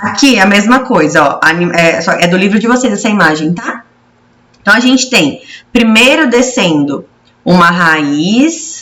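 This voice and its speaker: A woman talks at a fairly slow pace. The tone she uses is bright and sharp. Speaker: schoolteacher. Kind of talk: lecture. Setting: recorded video lesson.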